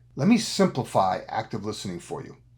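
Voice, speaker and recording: A man's somewhat breathy voice in an animated tone, with very wide pitch swings, on a very clean recording with a silent background. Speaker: executive coach. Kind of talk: business advice talk.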